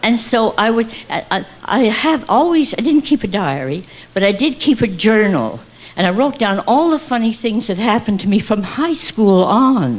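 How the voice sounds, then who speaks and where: With lively intonation, a woman talks at a moderate pace in a fairly high pitch. Noticeable background noise can be heard. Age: 80s+. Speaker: stand-up comic. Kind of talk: stand-up comedy routine.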